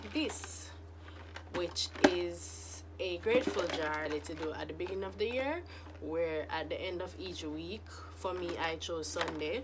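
Loud background noise behind a female speaker. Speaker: new vlogger. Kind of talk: casual vlog chat. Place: home room. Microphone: phone near.

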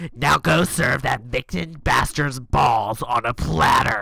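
Using a put-on character voice, a man speaks in a raspy, medium-pitched tone at a fairly slow pace. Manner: fierce, vengeful.

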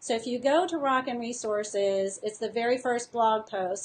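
Light background noise sits under a woman speaking at a high pitch. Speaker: teacher and curriculum designer. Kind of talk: casual live-stream tutorial to teachers. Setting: live video stream. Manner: animated, enthusiastic. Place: home room. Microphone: webcam.

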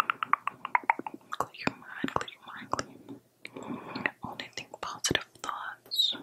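The voice is soft-spoken and whispering at a very slow pace. Loud noise fills the background. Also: woman. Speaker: ASMR creator. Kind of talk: soft relaxation guidance. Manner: soft close-mic ASMR whisper. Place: home room. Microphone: studio mic.

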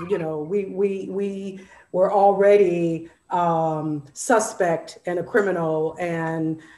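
With audible room echo, a woman speaks at a fairly low pitch with ordinary pitch variation. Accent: American. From Northern California. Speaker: arts programming director. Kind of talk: panel discussion. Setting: video call. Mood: thoughtful, engaged. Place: home room. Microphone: earbuds.

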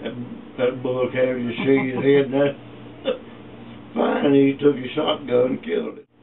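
A man talks at a moderate pace with long, frequent pauses and ordinary pitch variation. His loudness swings widely, and background noise is noticeable. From East Texas, USA. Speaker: retired meatpacking worker, former sharecropper. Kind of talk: interview answer, family oral history. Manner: casual, reminiscing. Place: home room. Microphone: camera far.

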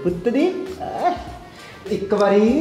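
A man is speaking with audible room echo. Clear music plays in the background. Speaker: comedy sketch actor. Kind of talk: scripted comedy sketch dialogue. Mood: worried, pleading. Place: home room.

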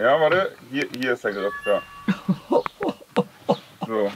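A man's fairly high voice, very slow, with long, frequent pauses and noticeable background noise. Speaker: farming vlogger. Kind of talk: casual talk, explaining. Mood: patient, friendly. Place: farm machine. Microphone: camera far.

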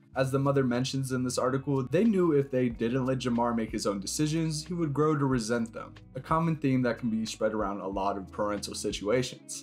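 A man speaks at a fairly quick pace with hardly any pauses and ordinary pitch variation. Music plays in the background. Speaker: documentary narrator. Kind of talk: documentary narration.

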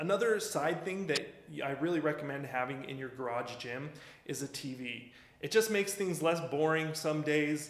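The voice shows ordinary pitch variation, and audible room echo can be heard. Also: man. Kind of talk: casual tour commentary. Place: garage.

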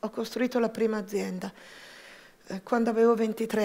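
A woman's fairly high-pitched voice against a quiet background. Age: 50s. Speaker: entrepreneur. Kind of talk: personal testimony talk. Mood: reflective, personal. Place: stage. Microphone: headset.

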